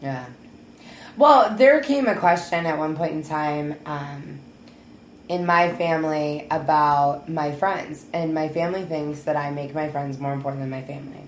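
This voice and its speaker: Audible room echo surrounds a woman with a very deep, low pitch. She speaks at a moderate pace with fairly even intonation. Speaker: talk show co-host. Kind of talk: casual chat. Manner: loud.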